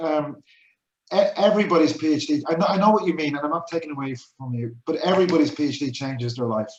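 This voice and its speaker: In an Irish accent, a man talks at a very fast pace with a fairly high pitch and ordinary pitch variation. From Ireland. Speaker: research project coordinator. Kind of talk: casual chat.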